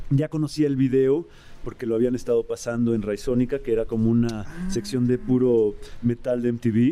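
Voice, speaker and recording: Speaking with a Mexican accent, a man with a dark, mellow tone keeps a moderate pace at a medium pitch with ordinary pitch variation. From Mexico. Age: 40s. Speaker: rock musician. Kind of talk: casual chat.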